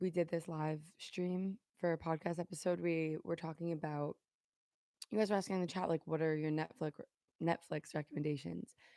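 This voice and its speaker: A woman's fairly low-pitched voice with a dark, mellow tone, fairly even intonation and a moderate pace, the sound dry and close with no echo in a very clean recording with a silent background. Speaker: podcast host and vlogger. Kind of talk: live stream podcast, casual solo chat. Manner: casual, rambling.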